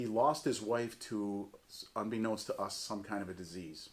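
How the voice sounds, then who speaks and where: A man talks at a fairly low pitch with fairly even intonation. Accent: American. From US Northeast, Jamestown, western New York. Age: 60s. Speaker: church community member. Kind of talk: oral history interview.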